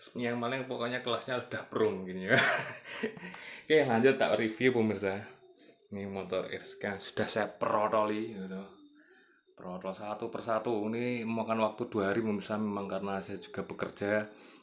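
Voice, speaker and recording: Music plays in the background as a man talks at a moderate pace. His voice is fairly low and his intonation fairly even. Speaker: motorcycle vlogger. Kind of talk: casual vlog talk. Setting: at home. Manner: soft-spoken; hesitant, many fillers.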